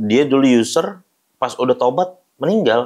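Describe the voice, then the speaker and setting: A man speaks at a very slow pace. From Jakarta, Indonesia. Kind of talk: interview testimony.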